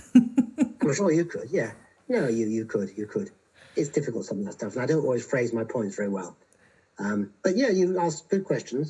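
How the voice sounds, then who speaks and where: A man with a fairly high pitch, somewhat breathy delivery, dark, mellow tone and very wide pitch swings. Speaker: philosopher. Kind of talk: casual chat. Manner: fast.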